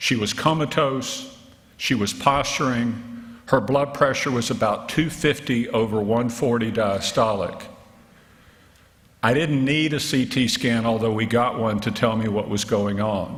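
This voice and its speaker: The speaker has a Southern US accent and ordinary pitch variation at a fairly slow pace. There is audible room echo. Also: man, medium pitch for a man. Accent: southern drawl. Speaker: physician and health policy researcher. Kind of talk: keynote lecture. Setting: conference stage with audience.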